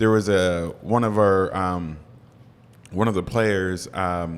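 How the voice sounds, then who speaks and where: A man's very deep, low voice at a fairly slow pace, with fairly even intonation. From southwestern Pennsylvania. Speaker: former high school football player. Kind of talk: casual interview.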